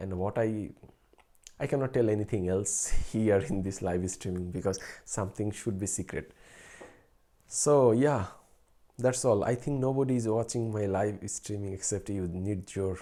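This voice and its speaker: A man with a fairly low pitch speaks at a fairly slow pace in a dark, mellow tone, with ordinary pitch variation and long, frequent pauses. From Bangladesh. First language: Bengali. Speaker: researcher and streamer. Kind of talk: casual live stream chat. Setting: late-night live stream. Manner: halting, with fillers.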